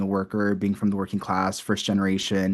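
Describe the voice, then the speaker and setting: A man with a Spanish accent, fairly low in pitch and very fast. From US West Coast, San Bernardino, California. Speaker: student organizer. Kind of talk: talk. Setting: lecture room with Zoom audience. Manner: conversational.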